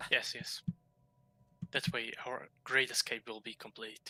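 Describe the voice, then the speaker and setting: A man speaks in a put-on character voice. His pitch is medium and his pace fairly slow. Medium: actual play.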